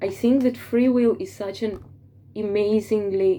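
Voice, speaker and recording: A woman with a non-native accent speaks in a dark, mellow voice. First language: not English. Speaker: tarot reader. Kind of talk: tarot forecast monologue. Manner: hesitant with fillers.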